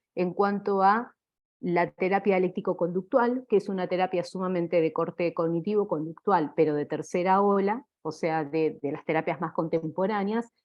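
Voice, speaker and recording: A woman speaks at a fairly slow pace with medium pitch. It is a normal speaking voice with ordinary pitch variation. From Argentina. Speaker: clinical psychologist. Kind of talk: lecture.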